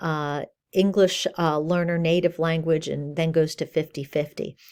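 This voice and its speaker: Speaking at a moderate pace, a woman uses an ordinary speaking voice with fairly low pitch on a very clean recording with a silent background. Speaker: college instructor. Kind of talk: lecture.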